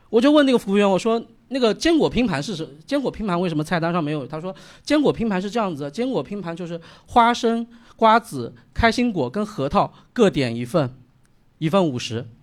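A man's high voice, fairly quick, with very wide pitch swings. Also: very clean recording, silent background. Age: 30s. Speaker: stand-up comedian. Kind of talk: stand-up set. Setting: stage with audience.

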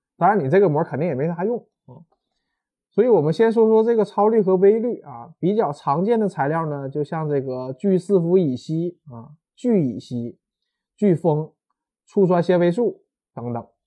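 With a Northeastern Chinese accent, a man speaks at a moderate pace in a high pitch, his tone animated and intonation lively, broken by long, frequent pauses. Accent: Northeastern Mandarin. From Northeast China. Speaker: university lecturer. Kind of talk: popular science talk.

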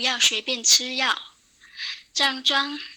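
A high-pitched woman's voice with a bright, sharp tone. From Guangdong, China. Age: 20s. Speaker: radio listener sharing experience. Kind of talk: prepared testimony read aloud.

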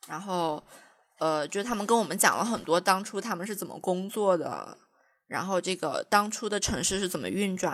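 Here is a woman with a plain, everyday voice and a medium pitch. Her pitch varies in an ordinary way. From China, Jiangxi. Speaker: podcast co-host, graduate student researcher. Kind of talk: casual chat.

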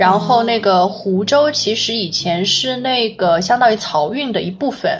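A woman speaks fairly slowly at a fairly high pitch with lively intonation and hardly any pauses. Noticeable background noise sits behind her. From Huzhou, Zhejiang, China. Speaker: local guest explaining hometown history. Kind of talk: casual chat.

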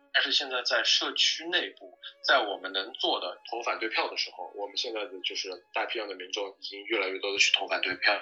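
Over noticeable background noise, the speaker moves at a fairly quick pace with hardly any pauses. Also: man. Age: young. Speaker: immigrant guest, cook and former trucking business owner. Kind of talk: casual interview conversation. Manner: hesitant with many fillers.

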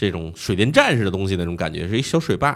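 A man talks at a very fast pace. His pitch swings very widely, and the recording is very clean with a silent background. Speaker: podcast host guest, Japan travel expert. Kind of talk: casual chat.

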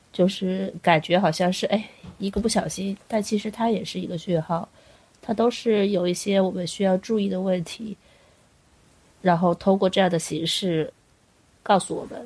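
A woman speaks at a moderate pace in a medium, somewhat breathy voice with fairly even intonation. She leaves long, frequent pauses. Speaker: podcast co-host. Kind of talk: casual chat.

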